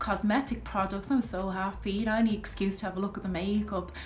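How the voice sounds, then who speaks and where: A woman with an Irish accent speaks at a medium pitch, with audible echo in the room. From Ireland. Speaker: video blogger. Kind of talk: casual monologue to camera. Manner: chatty, full of fillers.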